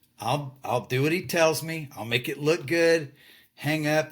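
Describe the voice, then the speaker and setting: An animated man with a Texan accent at a fairly slow pace, on a very clean recording with a silent background. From Texas. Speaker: retired lighting designer. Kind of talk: casual chat.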